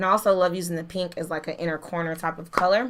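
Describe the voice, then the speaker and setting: A woman's animated, bright, sharp voice at medium pitch and a fairly quick pace. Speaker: beauty youtuber. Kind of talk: product review. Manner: fast.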